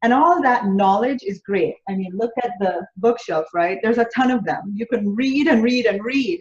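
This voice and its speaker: In a Jamaican accent, a woman with a fairly high pitch speaks at a moderate pace. Her intonation is lively, and she hardly pauses. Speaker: business coach. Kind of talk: interview. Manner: halting.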